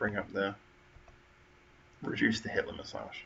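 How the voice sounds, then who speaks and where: The voice belongs to a man. His pace is moderate. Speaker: livestream host. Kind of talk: live stream chat. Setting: home front room. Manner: quieter than usual.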